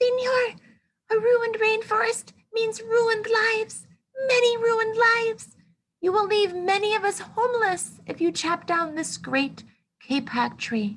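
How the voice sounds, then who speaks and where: A woman's squeaky, put-on character voice at extremely high pitch and a moderate pace. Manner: pleading, piping up.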